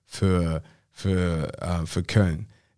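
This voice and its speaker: The tone is animated as a man talks. The recording is very clean, and the background silent. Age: 30s. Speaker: football podcast co-host. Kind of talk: casual chat.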